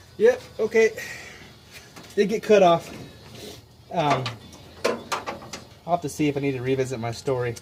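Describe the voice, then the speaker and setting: A man mumbles with lively intonation. Noticeable background noise sits behind him. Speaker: DIY mechanic YouTuber. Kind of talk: casual workshop vlog. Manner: mumbling.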